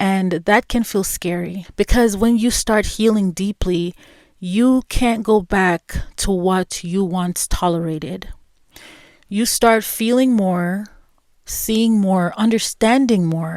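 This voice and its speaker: A soft-spoken woman talks at a very slow pace, her pitch medium with ordinary variation. The recording is very clean with a silent background, and the sound is dry and close with no echo. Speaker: podcast host. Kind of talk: personal reflective monologue. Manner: slow, with pauses.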